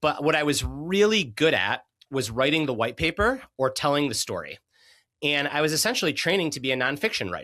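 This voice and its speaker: The recording is very clean, with a silent background. A man with a fairly high pitch talks at a fairly quick pace with lively intonation. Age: 30s. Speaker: author and performance coach. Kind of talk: interview conversation. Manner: halting, repeats words.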